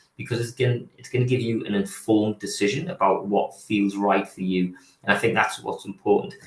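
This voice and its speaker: A man speaks at a fairly quick pace in a medium-pitched, somewhat breathy voice. His intonation stays fairly even. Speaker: physiotherapy programme leader. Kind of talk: online presentation. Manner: hesitant, many fillers and repetitions.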